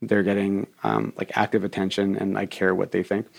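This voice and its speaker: A man speaks at a fairly quick pace in a fairly low voice. The recording is very clean, with a silent background. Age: 40s. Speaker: business co-founder. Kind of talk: interview. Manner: halting, many fillers and repeats.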